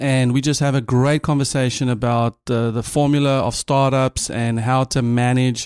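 A man with a South African accent speaks at a moderate pace and medium pitch, with fairly even intonation. The recording is very clean, with a silent background. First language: Afrikaans. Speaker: podcast host. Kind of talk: interview conversation; scripted intro and outro.

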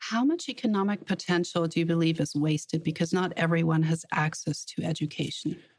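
The speaker talks at a fairly quick pace in a somewhat breathy voice, keeping the loudness very even throughout. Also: woman, fairly low pitch for a woman, ordinary pitch variation. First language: German. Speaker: business journalist and podcast host. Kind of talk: interview.

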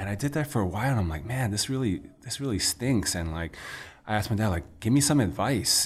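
A man with a New York accent speaks at a very fast pace with lively intonation and a somewhat breathy, fairly low voice. The recording is very clean, with a silent background. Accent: New York American. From New York City, Chinatown. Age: young. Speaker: restaurant owner and entrepreneur. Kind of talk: casual interview chat. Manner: animated.

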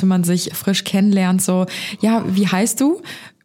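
Over noticeable background noise, a woman with a medium-pitched voice speaks with fairly even intonation. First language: not English; speaks German natively (speaking German). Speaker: podcast co-host. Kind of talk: casual chat.

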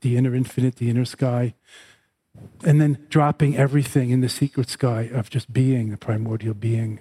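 His medium-pitched voice carries a dark, mellow tone, and the man sounds somewhat breathy. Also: dry, close sound with no echo. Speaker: Buddhist teacher. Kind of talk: guided meditation, sky-gazing instruction. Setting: live class with audience. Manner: slow, meditative; spiritual, teaching tone.

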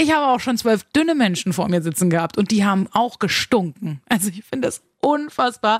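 In a very clean recording with a silent background and a dry, close sound without echo, a woman of medium pitch speaks at a fairly quick pace with very wide pitch swings. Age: 30s. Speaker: radio host and podcast host. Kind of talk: podcast monologue.

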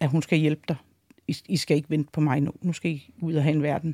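Dark and mellow in tone, a woman's very deep, low voice moves at a moderate pace, with a dry, close sound and no echo. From Denmark. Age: 40s. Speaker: wife of a biker gang member. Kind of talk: interview. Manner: hesitant, many filler sounds.

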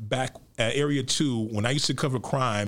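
A man with an American accent talks at a moderate pace and medium pitch in an unremarkable speaking voice. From Chicago South Side. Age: 50s. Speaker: architecture critic and author. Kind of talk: interview.

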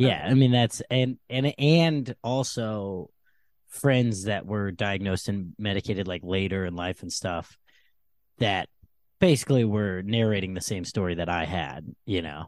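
This man has a plain, everyday voice, fairly low in pitch, with lively intonation at a moderate pace, recorded dry and close with no echo on a very clean track with a silent background. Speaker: comedian. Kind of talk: casual chat.

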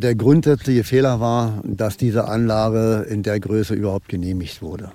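This man speaks with a fairly low pitch and a dark, mellow tone, his pitch varying in an ordinary way, on a very clean recording with a silent background. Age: 70s. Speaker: local politician. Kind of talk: interview. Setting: outdoors on former company site.

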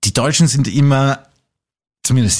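At a moderate pace, a man talks in a very clean recording with a silent background. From Austria, Salzburg. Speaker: podcast host. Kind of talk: casual chat.

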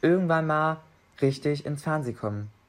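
A man speaks at a moderate pace with ordinary pitch variation. It is a normal speaking voice. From Saxony-Anhalt, Germany. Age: young. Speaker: apprentice. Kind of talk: casual interview. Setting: video call.

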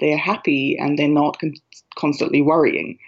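Speaking at a moderate pace, a woman with an Australian accent has a very deep, low pitch. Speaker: writer and librettist. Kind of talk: interview. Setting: phone call.

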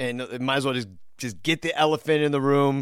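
A man with a normal speaking voice talks fairly quickly at a medium pitch on a very clean recording with a silent background. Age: 40s. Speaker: podcast host. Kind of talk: casual chat.

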